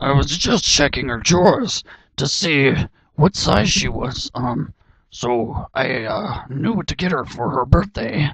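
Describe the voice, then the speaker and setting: Using a put-on character voice, a raspy man with a fairly high pitch talks at a fairly slow pace. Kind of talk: character audition read. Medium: audio drama.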